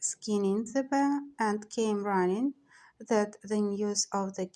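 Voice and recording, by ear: Reading aloud in a natural voice, the speaker keeps ordinary pitch variation.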